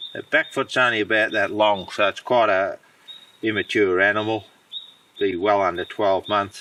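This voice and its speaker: The man's pace is moderate. He talks in an Australian accent. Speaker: deer hunter and guide. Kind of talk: outdoor tutorial. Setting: outdoors in the bush. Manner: unscripted, informal.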